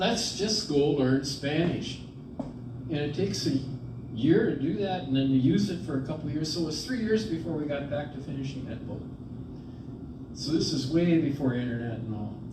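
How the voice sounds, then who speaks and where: A man at a fairly high pitch with lively intonation and long, frequent pauses, with audible room echo and noticeable background noise. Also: moderate pace. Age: 70s. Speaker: priest and retreat presenter. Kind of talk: retreat talk. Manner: conversational.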